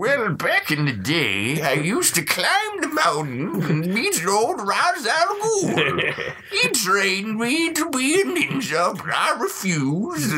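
Using a put-on character voice pitched fairly high, the speaker goes at a fairly slow pace with hardly any pauses. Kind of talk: rambling storytelling.

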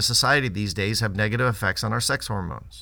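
A man speaks at a very fast pace with vocal fry and a bright, sharp tone. The recording is very clean, with a silent background. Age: 50s. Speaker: pediatrician and newsletter host. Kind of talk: scripted narration.

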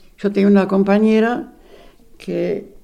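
A woman's dark, mellow voice at medium pitch, very slow, with fairly even intonation and audible room echo. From Argentina, Buenos Aires. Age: 80s+. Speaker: retired secretary, eyewitness. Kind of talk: personal testimony interview.

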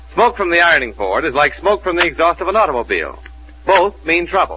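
Music runs in the background. Over it, a man talks very fast. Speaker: radio announcer. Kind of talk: scripted radio announcer reading, sponsor ads and introductions. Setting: old-time radio studio show with live audience. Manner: formal, polished, brisk announcer delivery.

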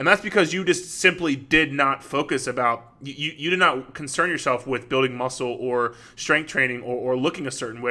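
A man's very fast speech at a medium pitch, with ordinary pitch variation and a bright, sharp tone. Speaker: fitness coach and podcast host. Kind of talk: solo podcast monologue. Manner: casual, filler-heavy.

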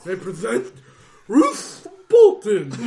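A man's put-on character voice, high in pitch.

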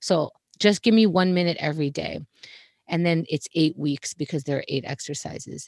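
A woman's very deep, low voice in a New York accent. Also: dry, close sound with no echo. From Queens, New York. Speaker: comedy talk show host. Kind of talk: casual interview. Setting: home closet.

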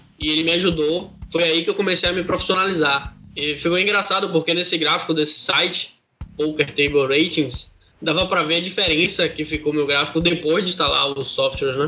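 A man's voice sits at a high pitch and keeps fairly even intonation. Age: 20s. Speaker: professional online poker player. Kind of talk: podcast interview.

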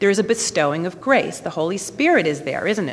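On a very clean recording with a silent background, a woman with an American accent speaks with very wide pitch swings. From New York. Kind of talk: testimony.

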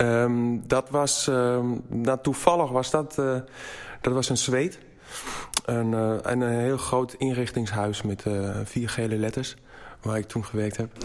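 Someone speaks at a very slow pace with a German accent. Noticeable background noise runs underneath. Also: man, medium pitch for a man. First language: German (speaking Dutch). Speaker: furniture maker. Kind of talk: interview. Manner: halting.

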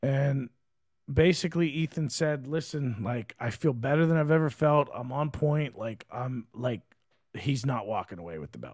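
With a normal speaking voice, a man talks at a moderate pace and a fairly high pitch. His pitch variation is ordinary, but his loudness swings widely. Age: 40s. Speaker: fight promoter and podcast co-host. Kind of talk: casual chat. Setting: studio. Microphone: good studio mic.

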